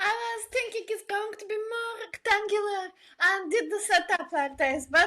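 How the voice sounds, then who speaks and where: The voice is raised and projected, with a bright, sharp tone, moderate pace and lively intonation. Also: woman. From Bulgaria. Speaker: illustrator and designer. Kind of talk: interview.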